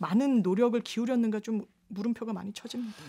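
Against a quiet background, a woman speaks with a fairly high pitch and a dark, mellow tone. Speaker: lawyer. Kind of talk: radio panel discussion. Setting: radio studio. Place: studio.

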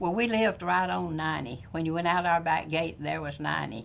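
A woman with an American accent speaks at a fairly low pitch, her voice showing vocal fry. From northern Florida. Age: 90s. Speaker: oral history interviewee. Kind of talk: oral history interview.

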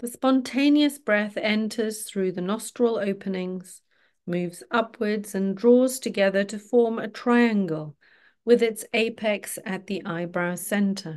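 Using an ordinary speaking voice, a woman talks at a fairly slow pace and fairly high pitch with ordinary pitch variation. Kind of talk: guided meditation (yoga nidra). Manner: slow, calm, soothing, gently paced with pauses; instructional, reassuring, rhythmic body-part listing.

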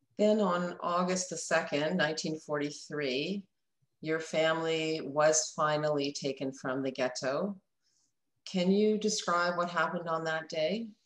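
A woman with a fairly low pitch speaks at a very slow pace, with ordinary pitch variation. The background is quiet, though room echo is audible. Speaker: interviewer. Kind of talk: interview. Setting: video call. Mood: calm, respectful. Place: office. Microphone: webcam.

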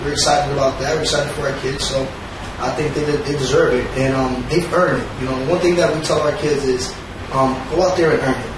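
Against clear background noise and audible room echo, a man talks at a medium pitch and a fairly quick pace with fairly even intonation.

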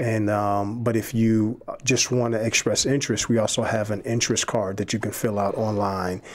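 A man with an American accent speaks at a moderate pace in a medium pitch, his intonation monotone and flat, with hardly any pauses. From Chicago inner city. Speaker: seminary admissions director; podcast guest. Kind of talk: casual faith discussion. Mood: calm, reflective, faith-based. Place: studio. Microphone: studio mic.

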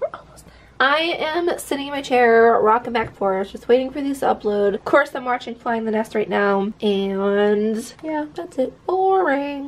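Speaking at a moderate pace with hardly any pauses, a woman uses a high voice. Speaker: vlogger. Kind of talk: casual vlog chat. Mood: relaxed, light amused. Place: home room. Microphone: phone near.

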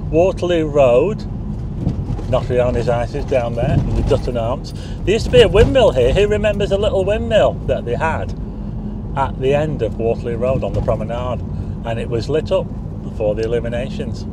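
Noticeable background noise accompanies a man talking at a fairly quick pace in a dry sound with no echo. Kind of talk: casual driving commentary. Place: car. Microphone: phone near.

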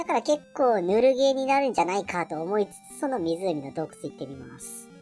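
Over clear background music, a female-sounding voice of medium pitch for a woman moves at a fairly quick pace. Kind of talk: casual let's-play commentary. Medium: virtual streamer. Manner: chatty, relaxed, thinks aloud.

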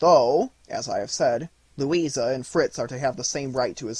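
Here someone is doing plain reading aloud.

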